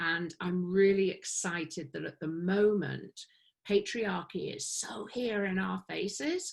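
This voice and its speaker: Here is a woman with a plain, everyday voice at a medium pitch. She speaks at a fairly slow pace with ordinary pitch variation. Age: 50s. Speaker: women's circle facilitator. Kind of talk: interview answer.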